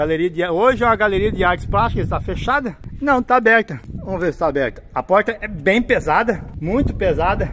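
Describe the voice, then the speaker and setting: A man's high-pitched voice with lively intonation at a fairly quick pace, over noticeable background noise. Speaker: travel vlogger living in a motorhome. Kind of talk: travel vlog tour narration. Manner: casual with frequent hesitations.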